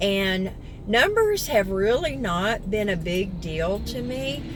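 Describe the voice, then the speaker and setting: Audible room echo hangs on the recording. The woman speaking keeps a very slow pace. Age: 60s. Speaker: vlogger. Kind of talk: casual vlog talk to camera. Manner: animated.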